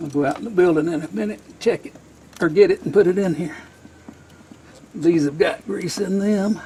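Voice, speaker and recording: A man with a high pitch, lively intonation and a fairly quick pace, with long, frequent pauses and big swings in loudness. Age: 60s. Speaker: hobby machinist and home mechanic. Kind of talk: casual DIY repair narration.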